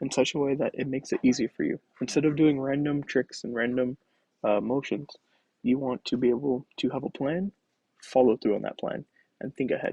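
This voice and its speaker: The man's voice has a fairly high pitch and a dark, mellow tone. He keeps a moderate pace, and the sound is dry and close with no echo. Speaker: engineering instructor. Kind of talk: lecture.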